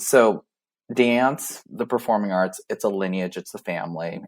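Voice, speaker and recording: On a very clean recording with a silent background, a man with a fairly low pitch talks at a moderate pace. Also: dry, close sound with no echo. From US West Coast, Vietnamese community in southern California. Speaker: arts administrator. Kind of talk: interview.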